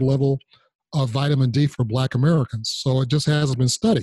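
A man's fairly high voice, somewhat breathy with a dark, mellow tone and fairly even intonation, in a dry, close sound with no echo. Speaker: podcast host.

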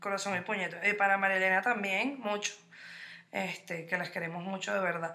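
A woman with a Venezuelan accent, animated in tone, at a fairly quick pace and medium pitch. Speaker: podcast co-host. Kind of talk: casual chat.

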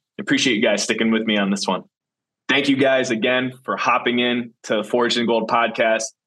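At a fairly quick pace, a man speaks in a medium pitch with a bright, sharp tone, very even loudness and fairly even intonation. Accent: Wisconsin. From Wisconsin, Green Bay. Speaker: podcast host and professional football player. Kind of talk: casual solo podcast monologue. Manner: casual, with frequent fillers and repetitions.

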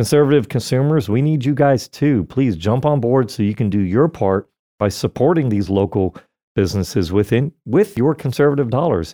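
A man with an American accent speaks at a medium pitch in a dark, mellow tone, his intonation lively and his loudness very even. The sound is dry and close with no echo, over a quiet background. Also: moderate pace. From Florida. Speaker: radio host. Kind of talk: casual chat. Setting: studio.

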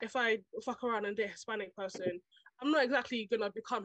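A woman speaks very fast in a fairly high voice. Her intonation stays fairly even. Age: young. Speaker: podcast guest. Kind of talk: casual chat.

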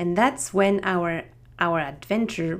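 In a French accent, a woman speaks at a very slow pace with a fairly low pitch. Her pitch varies in an ordinary way, and the recording is very clean with a silent background. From France, Strasbourg. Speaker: podcast host. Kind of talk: scripted-style solo podcast introduction. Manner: friendly, slightly halting.

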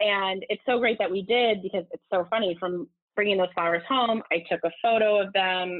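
A woman at medium pitch with an American accent, fairly quick pace and hardly any pauses. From Southern California. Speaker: floral designer and company founder. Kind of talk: interview conversation.

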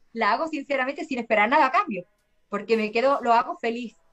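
This woman talks at a very fast pace, her voice high-pitched with ordinary pitch variation. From Seville, Andalusia, Spain. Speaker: singer-songwriter. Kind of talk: interview conversation. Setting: remote call from Spain.

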